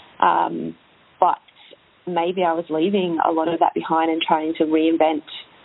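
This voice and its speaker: Over noticeable background noise, a woman with a fairly low pitch speaks at a moderate pace in a monotone, flat delivery. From UK. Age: 30s. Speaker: fitness business owner and personal trainer. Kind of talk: interview conversation.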